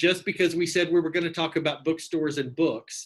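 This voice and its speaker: In an East Texas accent, a man speaks with a high pitch and a bright, sharp tone. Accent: East Texas twang. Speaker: bookstore general manager. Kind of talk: interview host conversation.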